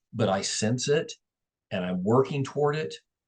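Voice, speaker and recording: A somewhat breathy man with lively intonation, in a dry, close sound with no echo. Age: 60s. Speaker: real estate and mortgage business owner. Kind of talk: interview.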